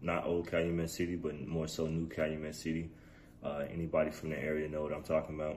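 In a room with audible echo, a man with a very deep, low pitch talks at a very fast pace in a monotone, flat delivery. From Chicago South Side, US. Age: 40s. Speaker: podcast host. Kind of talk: personal storytelling monologue. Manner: casual with many fillers.

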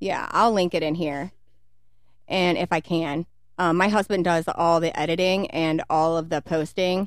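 A woman with an American accent uses an ordinary speaking voice at a fairly low pitch, speaking at a moderate pace with fairly even intonation on a very clean recording with a silent background. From Kentucky, US. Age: 30s. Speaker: podcast co-host. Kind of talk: casual chat.

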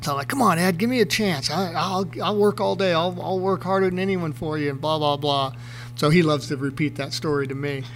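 A man's fairly high-pitched voice, fairly quick and with lively intonation, over noticeable background noise. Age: 50s. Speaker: retired motocross racer. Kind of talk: casual chat.

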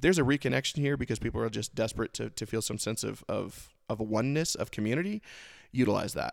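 A man with vocal fry talks at a very fast pace, using a medium pitch and ordinary pitch variation. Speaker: podcast host. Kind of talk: solo monologue. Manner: halting.

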